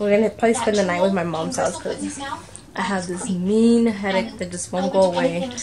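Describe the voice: A woman's dark, mellow voice at medium pitch, fairly even intonation and a moderate pace, with faint background noise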